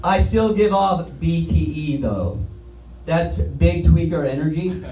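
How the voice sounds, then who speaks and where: Noticeable background noise and audible room echo surround a man with a fairly low pitch. He speaks at a very slow pace, his pitch swinging very widely. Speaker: stand-up comedian. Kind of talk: stand-up. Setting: stage with audience.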